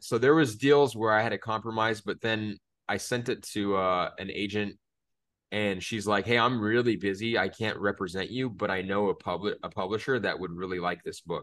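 With an ordinary speaking voice, a man of fairly low pitch talks at a moderate pace and fairly even intonation over a quiet background. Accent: American. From Phoenix, Arizona. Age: 30s. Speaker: author and illustrator. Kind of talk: interview.

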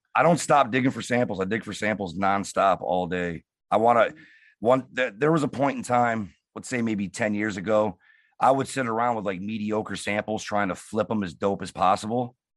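A man talks in an ordinary speaking voice, fairly low in pitch with ordinary pitch variation. He keeps a moderate pace against a quiet background. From Detroit. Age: 30s. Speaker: hip hop producer. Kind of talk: casual interview.

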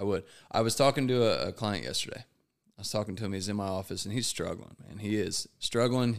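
A man talks in a plain, everyday voice with an American accent. His pitch is fairly low, with ordinary pitch variation. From United States. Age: 30s. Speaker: guest in addiction recovery. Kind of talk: casual chat.

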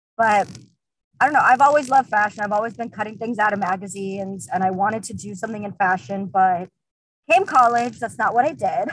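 A woman's somewhat breathy voice at medium pitch, very fast, with ordinary pitch variation. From Uzbekistan. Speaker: shoe brand founder. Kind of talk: casual interview.

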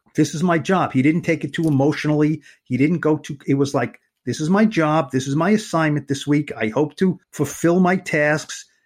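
In a normal speaking voice, a man with a fairly high pitch talks at a moderate pace with ordinary pitch variation on a very clean recording with a silent background. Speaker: sports beat writer, podcast co-host. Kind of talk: casual sports podcast chat.

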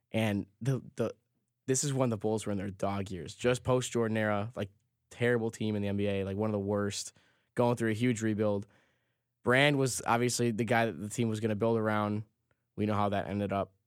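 Here is a man with an American accent and an unremarkable speaking voice, pitched fairly low. He talks at a fairly quick pace with fairly even intonation in a very clean recording with a silent background. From Chicago. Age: 20s. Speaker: sports podcast co-host. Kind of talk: casual chat.

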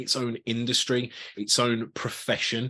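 This man's voice has a bright, sharp tone. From Birmingham, England. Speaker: customer experience evangelist, former rock musician. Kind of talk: interview, conversational.

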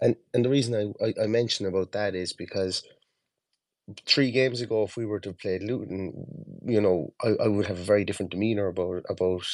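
A man with an Irish accent talks at a fairly quick pace in a fairly low voice. His intonation stays fairly even against a quiet background. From Ireland. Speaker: football fan podcaster. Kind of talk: casual chat. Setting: online audio call.

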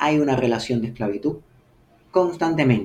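The voice has a dark, mellow tone and is somewhat breathy. Its pitch variation is ordinary. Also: man. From Havana, Cuba. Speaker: science fiction writer. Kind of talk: interview. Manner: halting, with many repetitions.

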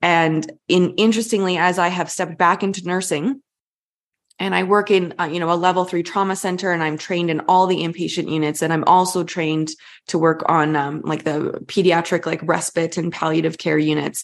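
A woman speaks in a plain, everyday voice at a fairly quick pace and fairly low pitch. Her intonation stays fairly even against a quiet background. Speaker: coach and former pediatric nurse.

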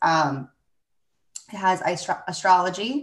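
Her medium-pitched voice as a woman moves along at a fairly slow pace. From Florida, US. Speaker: human design reader and podcast host. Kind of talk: casual chat about human design, with sales promo. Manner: excitable.

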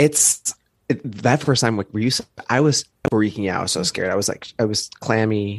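A man speaks fairly quickly in a fairly low voice with ordinary pitch variation. The sound is dry and close, with no echo. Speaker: comedian. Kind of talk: casual chat. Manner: fast, manic talker.

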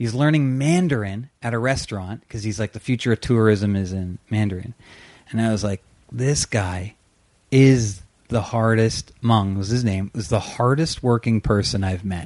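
With a Canadian accent, a man talks in an animated tone at medium pitch and a moderate pace, using ordinary pitch variation. The sound is dry and close with no echo against a quiet background. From Canada, Ontario (Brampton). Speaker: comedian and teacher. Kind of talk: casual chat. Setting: host's house, on the couch.

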